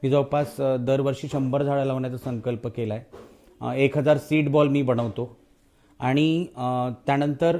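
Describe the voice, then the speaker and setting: Dark and mellow in tone, this man's voice sits at a medium pitch with fairly even intonation. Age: 40s. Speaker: local election candidate. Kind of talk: campaign interview.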